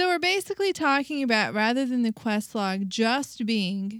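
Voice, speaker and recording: A woman's ordinary speaking voice, fairly high in pitch, at a moderate pace on a very clean recording with a silent background. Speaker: podcast co-host. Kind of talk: casual chat.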